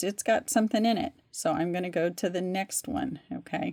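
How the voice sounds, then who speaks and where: A woman's plain, everyday voice at a moderate pace with ordinary pitch variation, in a very clean recording with a silent background. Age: 60s. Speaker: crochet instructor. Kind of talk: tutorial. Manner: casual, conversational.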